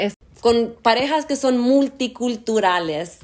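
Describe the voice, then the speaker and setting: Very slowly, a woman speaks with a high pitch and lively intonation. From US, Argentine roots. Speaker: podcast host. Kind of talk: casual interview. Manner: code-switching English and Spanish.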